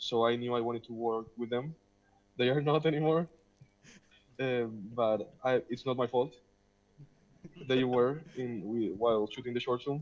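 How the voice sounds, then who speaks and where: In a Spanish accent, a man talks at a moderate pace and a medium pitch for a man. His intonation is fairly even, broken by long, frequent pauses. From Spain, Madrid. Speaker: film director. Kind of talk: Q&A panel. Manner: halting.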